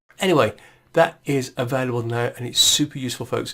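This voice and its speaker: Speaking at a fairly quick pace, a man talks with an English Midlands accent. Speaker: tech tutorial presenter. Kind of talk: tutorial. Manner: casual, many fillers and restarts.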